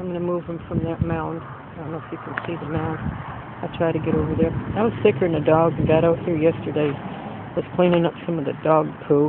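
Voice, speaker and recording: The voice moves at a fairly quick pace, the sound dry with no echo but with noticeable background noise. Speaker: home vlogger. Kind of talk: casual vlog chat. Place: garden. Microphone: phone near.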